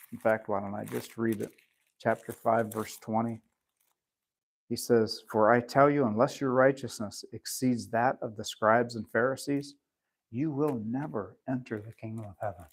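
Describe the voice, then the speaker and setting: An unremarkable speaking voice from a man, medium in pitch, moderate in pace, with big swings in loudness. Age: 60s. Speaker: pastor. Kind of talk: sermon.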